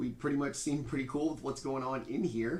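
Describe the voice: Amid audible room echo, a man speaks at a medium pitch and a fairly quick pace, with ordinary pitch variation and a slightly mellow tone.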